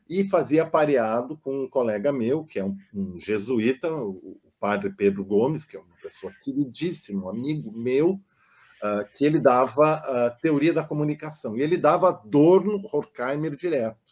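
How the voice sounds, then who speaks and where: At a moderate pace, a man with a fairly high pitch uses lively intonation and big swings in loudness. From southern Brazil, German-speaking community. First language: German (speaking Portuguese). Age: 60s. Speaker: psychoanalyst. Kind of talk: casual interview conversation. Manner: hesitant, with filler sounds.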